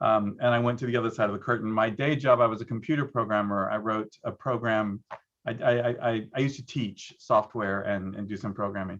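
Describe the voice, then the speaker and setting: Speaking fairly quickly, a man uses an ordinary speaking voice at medium pitch with fairly even intonation. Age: 60s. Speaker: arts producer and former dancer. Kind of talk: panel discussion.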